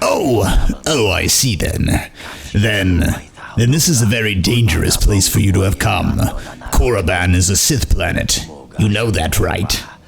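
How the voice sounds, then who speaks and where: A man puts on a character voice, pitched fairly low. He keeps a moderate pace, with clear background noise behind him. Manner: sinister, wary.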